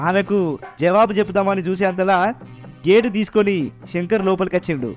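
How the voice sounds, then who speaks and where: A man with a high pitch talks over background music, keeping his intonation fairly even. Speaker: radio jockey narrator. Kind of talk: audio drama narration.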